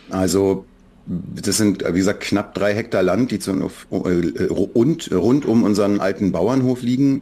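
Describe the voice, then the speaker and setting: A man's very slow, fairly low voice, dark and mellow in tone, with ordinary pitch variation and very even loudness. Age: 40s. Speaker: children's book author. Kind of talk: interview.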